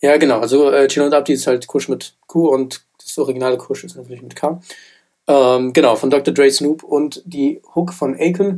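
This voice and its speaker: A man with an unremarkable speaking voice talks at a moderate pace and fairly high pitch. His loudness swings widely, though his intonation stays fairly even. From Germany, Frankfurt. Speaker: rap music podcast co-host. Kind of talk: casual chat.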